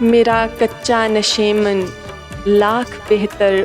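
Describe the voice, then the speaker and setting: With music in the background, a woman speaks in a monotone, flat intonation. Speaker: voiceover artist. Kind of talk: poetry reading. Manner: emotional, soulful.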